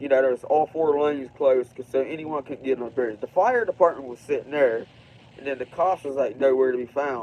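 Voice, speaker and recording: The speaker moves at a fairly quick pace in an Appalachian Ohio accent, with ordinary pitch variation and big swings in loudness. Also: man, fairly high pitch for a man. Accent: Appalachian Ohio American. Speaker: livestreamer. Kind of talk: casual livestream monologue. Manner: quiet.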